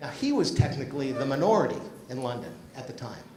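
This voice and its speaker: Both audible room echo and noticeable background noise fill the recording. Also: man. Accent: slight Massachusetts. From Massachusetts (Grafton, near Worcester). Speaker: business executive, keynote speaker. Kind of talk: keynote speech. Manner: conversational, anecdotal.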